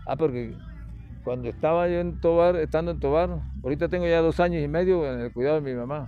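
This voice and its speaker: This man speaks very quickly. His voice carries an audible echo from the room. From Venezuelan Andes (Mérida). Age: 60s. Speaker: retired teacher. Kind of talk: interview.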